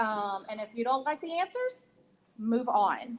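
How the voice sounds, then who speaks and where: Loud and high-pitched, a woman speaks with an American accent. Her pace is very slow. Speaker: mental health counselor. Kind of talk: town hall panel discussion.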